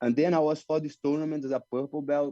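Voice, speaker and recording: This man has a dark, mellow tone and a fairly high pitch. He talks at a fairly quick pace. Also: dry, close sound with no echo. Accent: Brazilian Portuguese. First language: Portuguese. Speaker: jiu-jitsu fighter. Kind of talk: interview. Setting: video call. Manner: halting non-native English.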